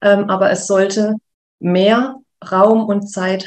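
The speaker is a woman. She talks in a monotone with flat intonation. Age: 30s. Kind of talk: interview. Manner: hesitant fillers.

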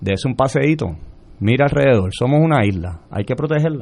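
A man at a very fast pace, with lively intonation. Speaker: marine science educator. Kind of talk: radio interview.

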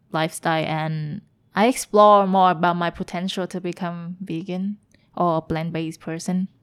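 In a Vietnamese accent, a woman speaks at a moderate pace and a fairly low pitch. Her intonation is monotone and flat, and the recording is very clean with a silent background. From Vietnam, Hanoi. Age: 20s. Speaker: vegan food entrepreneur. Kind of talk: casual interview. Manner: giggly.

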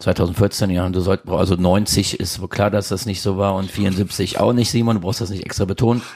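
At a moderate pace with hardly any pauses, a normal speaking voice delivers lines with fairly even intonation. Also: man, fairly low pitch for a man. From Krefeld, Lower Rhine, Germany. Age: 40s. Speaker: restaurateur. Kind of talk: casual chat. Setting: living room.

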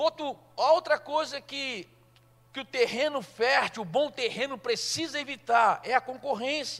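This man speaks at a fairly slow pace in an extremely high voice. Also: ordinary pitch variation. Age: 60s. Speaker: pastor. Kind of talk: sermon.

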